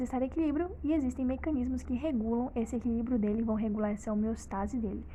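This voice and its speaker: Talking at a fairly quick pace, a woman uses ordinary pitch variation in a dark, mellow tone. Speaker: medical educator. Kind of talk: tutorial. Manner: fast.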